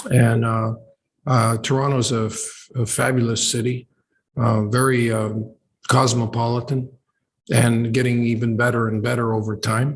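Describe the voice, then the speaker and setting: The delivery is monotone, with flat intonation and a somewhat breathy quality. The pace is moderate. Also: man, medium pitch for a man. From Canada, Ontario (Oshawa). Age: 70s. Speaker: professor. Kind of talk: interview conversation. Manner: halting, many fillers.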